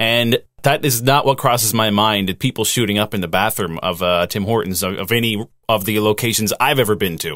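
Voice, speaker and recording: Over a very clean recording with a silent background, a man talks in a normal speaking voice at a fairly quick pace, fairly low in pitch with ordinary pitch variation. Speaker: podcast co-host. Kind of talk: casual chat.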